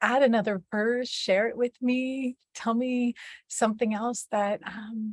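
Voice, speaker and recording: A woman's somewhat breathy voice moves at a very slow pace. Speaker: mother. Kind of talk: casual talk to camera.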